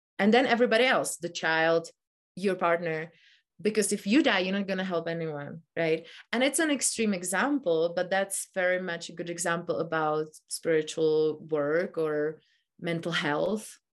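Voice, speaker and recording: Against a quiet background, a woman with a Czech accent speaks at a fairly low pitch and a moderate pace, with ordinary pitch variation. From Czech Republic. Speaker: meditation teacher. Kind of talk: casual chat. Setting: video call.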